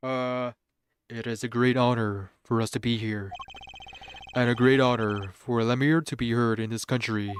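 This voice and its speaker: A man's put-on character voice at a medium pitch, moderate pace and fairly even intonation, broken by long, frequent pauses. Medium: virtual streamer. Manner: formal, courteous.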